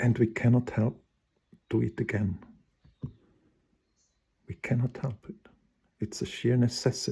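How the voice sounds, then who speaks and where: A somewhat breathy man with a dark, mellow tone at medium pitch, fairly slow in pace with long, frequent pauses and ordinary pitch variation. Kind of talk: spontaneous personal monologue. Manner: stuttering, halting.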